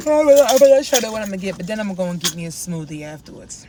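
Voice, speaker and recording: A woman's fairly quick speech with very wide pitch swings, amid noticeable background noise. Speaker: lifestyle vlogger. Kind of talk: casual vlog talk to camera. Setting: in a car. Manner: fast.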